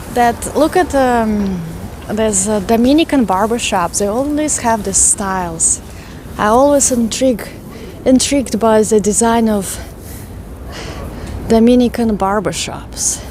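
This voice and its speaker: A woman with a Russian accent talks at a fairly slow pace, leaving long, frequent pauses. Her fairly high pitch shows ordinary variation, and noticeable background noise is present. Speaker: walking tour vlogger. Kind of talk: live stream walking tour chat. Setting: outdoors, walking city streets.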